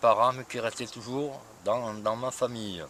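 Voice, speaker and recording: A man's voice at a medium pitch. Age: 60s. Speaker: retired postman, classic car owner. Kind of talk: interview.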